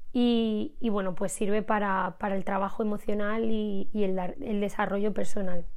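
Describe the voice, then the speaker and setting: With hardly any pauses, a woman talks at medium pitch with fairly even intonation. Audible room echo fills the recording. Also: moderate pace. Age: 20s. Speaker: podcast host, personal development creator. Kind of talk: personal monologue, intimate confessional. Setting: recording at home. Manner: hesitant, frequent repetitions.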